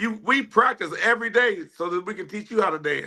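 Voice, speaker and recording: Raised and projected, a man's high-pitched voice carries a bright, sharp tone at a fairly quick pace. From Ohio, US Midwest. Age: 50s. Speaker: line dance instructor and DJ. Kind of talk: podcast interview.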